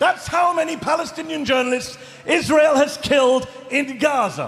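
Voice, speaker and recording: A man speaks with crowd noise in the background. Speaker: journalist. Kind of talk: live rally speech. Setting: large arena with live audience. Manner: emotional, impassioned.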